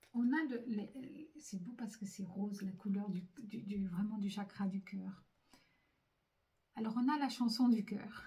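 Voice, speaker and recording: Her voice is somewhat breathy, medium in pitch, with a dark, mellow tone and ordinary pitch variation. The woman speaks at a very slow pace, with long, frequent pauses. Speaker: psychic medium doing card readings. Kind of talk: spiritual card reading to camera. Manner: hesitant, many fillers and repetitions.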